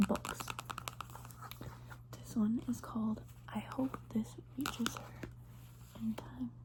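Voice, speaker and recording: Long, frequent pauses in a very slow delivery, with noticeable noise in the background. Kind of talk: ASMR whisper ramble and poetry reading. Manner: whispered.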